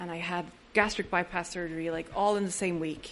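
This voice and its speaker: A woman speaks with an Irish accent. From Ireland. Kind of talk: recovery talk to an audience. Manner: humorous.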